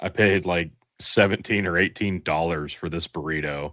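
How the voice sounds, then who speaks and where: A man with a Midwestern US accent speaks at a fairly slow pace in a very deep, low voice, the sound dry and close with no echo. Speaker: podcast co-host. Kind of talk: casual chat. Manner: animated.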